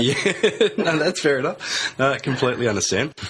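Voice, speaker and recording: A man is speaking. His intonation is lively. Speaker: radio host. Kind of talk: radio interview questions.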